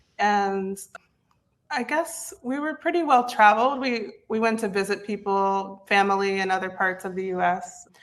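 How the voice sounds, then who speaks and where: With an American accent, a woman uses a normal speaking voice at medium pitch, talking at a moderate pace with lively intonation. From US East Coast, West Virginia. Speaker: content repurposing specialist. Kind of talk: interview.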